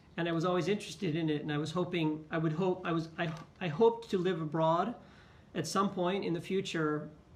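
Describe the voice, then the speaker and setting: Fairly quick speech in an American accent carries fairly even intonation. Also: man, high pitch for a man. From California, US West Coast. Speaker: teacher. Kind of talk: interview.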